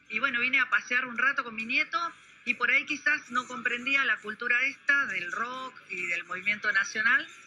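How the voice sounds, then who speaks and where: With noticeable noise behind it, the voice keeps a moderate pace and ordinary pitch movement. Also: woman, high pitch for a woman. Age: 60s. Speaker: retired homemaker, street interviewee. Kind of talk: street interview.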